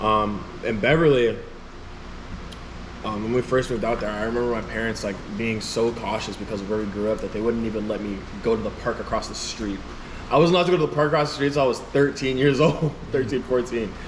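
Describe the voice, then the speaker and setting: A man's very fast speech with an American accent, medium pitch and ordinary pitch variation, plus audible room echo and noticeable background noise. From Chicago, Illinois. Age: 20s. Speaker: rapper. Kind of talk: interview. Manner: casual, filler-heavy.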